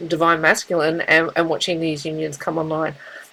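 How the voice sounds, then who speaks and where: A woman's very deep, low voice in an Australian accent. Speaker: tarot reader. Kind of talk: spiritual reading monologue. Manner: halting, with many fillers and repeats.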